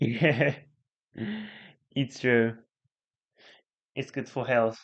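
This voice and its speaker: A man speaks with a Japanese accent at a very slow pace. His pitch is medium. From Japan, Chiba. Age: 20s. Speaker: live streamer. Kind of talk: casual live stream chat. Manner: halting.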